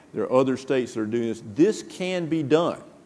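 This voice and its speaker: This man has lively intonation. He talks in a Southern US accent. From northern Mississippi. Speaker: retired navy admiral. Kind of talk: panel discussion. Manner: halting, many fillers.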